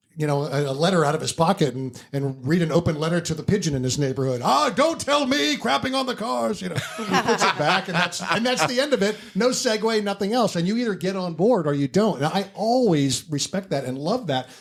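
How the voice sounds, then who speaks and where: Over noticeable background noise, a man talks at a fairly quick pace with hardly any pauses, using a high pitch and very wide pitch swings. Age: 60s. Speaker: stand-up comic. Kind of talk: casual chat.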